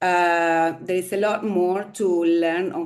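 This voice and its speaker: This woman speaks with a Spanish accent. Her pitch is fairly low. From Argentina. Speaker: staff member of women's network. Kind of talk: webinar discussion. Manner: halting, many fillers.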